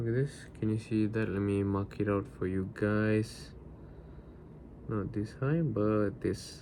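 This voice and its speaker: Speaking at a very slow pace, a man uses a fairly low pitch with a dark, mellow tone, ordinary pitch variation and very even loudness. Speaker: day trader streaming live. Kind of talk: live trading commentary. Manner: casual, thinking aloud.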